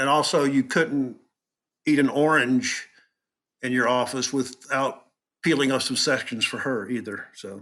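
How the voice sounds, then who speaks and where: A man with a bright, sharp tone speaks at medium pitch and a fairly slow pace, his intonation fairly even and his pauses long and frequent. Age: 60s. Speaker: concert venue manager. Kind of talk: interview.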